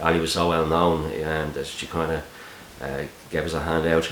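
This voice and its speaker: A man with a Dublin accent speaks in a very deep, low pitch. Audible room echo and noticeable background noise surround his voice. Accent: Dublin Irish. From Ireland, Dublin. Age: 40s. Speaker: YouTube channel host, busking videographer. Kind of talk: Q&A video, casual monologue. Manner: hesitant, many fillers and repeats.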